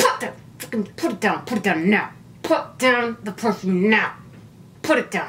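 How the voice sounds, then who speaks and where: Someone whispers in a put-on character voice at a moderate pace. Clear background noise runs underneath. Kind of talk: whispering. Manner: scolding, whispered.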